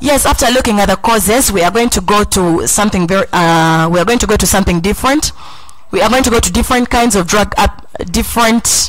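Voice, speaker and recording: A woman speaks at a fairly quick pace with ordinary pitch variation. The sound is dry with no echo. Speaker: talk show host. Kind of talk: panel discussion moderation. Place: studio. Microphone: handheld.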